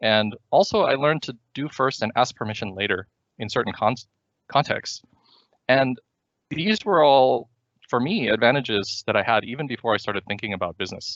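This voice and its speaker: A man speaks in an ordinary speaking voice at medium pitch. His intonation is lively and his pace fairly quick. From US, moved around the country. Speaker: startup founder and CEO. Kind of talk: seminar presentation. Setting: virtual seminar. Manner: many fillers and restarts.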